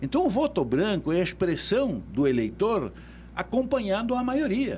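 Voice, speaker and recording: Here a man speaks with a high pitch. His voice moves in very wide pitch swings. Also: moderate pace. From Uruguay. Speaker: electoral law expert. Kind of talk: radio interview.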